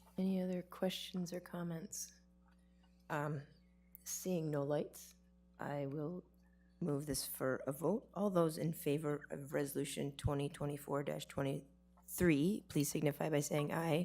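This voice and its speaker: A woman's very deep, low voice at a fairly slow pace, fairly even in intonation, with music in the background. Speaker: board chair. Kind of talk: formal meeting proceedings.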